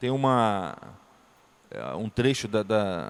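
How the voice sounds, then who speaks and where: Ordinary pitch variation from a man speaking at a medium pitch. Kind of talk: lecture.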